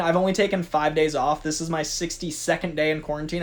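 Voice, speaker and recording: With an animated tone, a man speaks at a fairly quick pace. His pitch is fairly high. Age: 30s. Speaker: youtube host, pop culture commentator. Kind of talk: casual vlog chat. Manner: fast.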